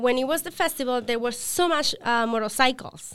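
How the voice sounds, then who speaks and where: On a very clean recording with a silent background, a woman speaks with a Spanish accent. Her voice is high-pitched with a bright, sharp tone. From Colombia, Villavicencio. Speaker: apparel brand co-founder. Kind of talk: podcast interview. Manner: halting.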